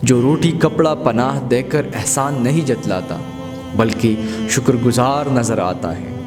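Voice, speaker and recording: A man talks with ordinary pitch variation and a medium pitch while music plays behind him. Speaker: narrator. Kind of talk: quote narration.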